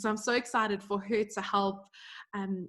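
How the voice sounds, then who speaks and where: Against a quiet background, a woman with a South African accent speaks in a medium pitch at a moderate pace, her intonation monotone and flat. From South Africa, Johannesburg. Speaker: podcast co-host, business coach. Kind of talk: casual podcast chat.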